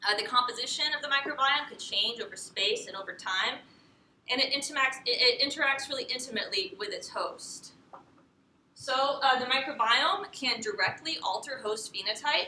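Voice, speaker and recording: Raising and projecting her voice, a woman speaks at a high pitch with a bright, sharp tone. Her intonation is lively, and her pace is moderate. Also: big swings in loudness. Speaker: PhD candidate. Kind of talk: lecture. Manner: loud; halting, many fillers.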